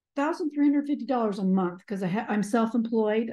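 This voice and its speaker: A woman speaks with a fairly high voice and a dark, mellow tone. There is a somewhat breathy quality to it. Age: 60s. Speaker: kinship caregiver, house cleaner. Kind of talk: audience question.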